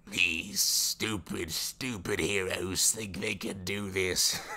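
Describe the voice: A man's raspy, put-on character voice at fairly low pitch, very slow pace, light background noise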